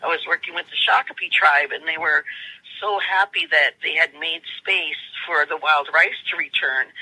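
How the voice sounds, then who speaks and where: Over noticeable background noise, a woman speaks at a moderate pace in a dry, close sound with no echo. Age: 60s. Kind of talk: interview.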